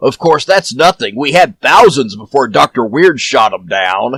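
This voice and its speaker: Put-on character voice from a man at medium pitch. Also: moderate pace. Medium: audio drama. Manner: casual, chatty.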